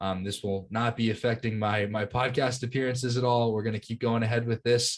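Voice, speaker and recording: A man is speaking here. His pace is fairly quick against a quiet background. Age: 20s. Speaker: lacrosse coach and podcast co-host. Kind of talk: casual podcast chat. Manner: enthusiastic.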